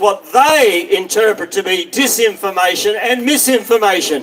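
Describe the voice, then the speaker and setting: A man with an Australian accent speaks fairly slowly at an extremely high pitch, with ordinary pitch variation and noticeable background noise. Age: 60s. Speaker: minor party political candidate. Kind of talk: campaign speech at a rally.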